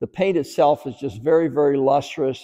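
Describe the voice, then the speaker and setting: Over a quiet background, a man talks at a moderate pace in a dark, mellow tone with fairly even intonation. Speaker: car dealer salesman. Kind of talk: sales walkaround presentation. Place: shop.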